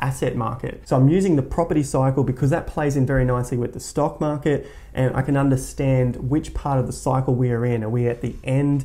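A man speaks at a fairly quick pace and medium pitch. His tone is dark and mellow, with ordinary pitch variation.

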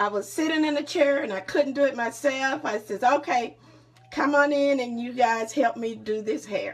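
A woman's high-pitched voice at a moderate pace, with ordinary pitch variation. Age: 60s. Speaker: mother. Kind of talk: casual family conversation. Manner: encouraging. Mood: warm, proud, encouraging. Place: home room. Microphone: phone near.

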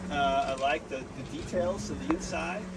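Loud background noise accompanies a man's speech. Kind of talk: interview answer. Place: boat. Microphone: phone near.

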